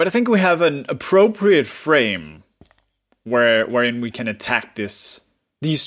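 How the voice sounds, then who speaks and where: A man's fairly high voice with a Danish accent, fairly slow pace, big swings in loudness and very wide pitch swings. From Denmark. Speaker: podcast co-host. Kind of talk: casual chat.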